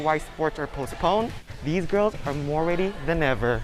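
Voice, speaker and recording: A man with a high voice speaks at a fairly quick pace over music in the background. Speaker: journalist. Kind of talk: news reporter standup.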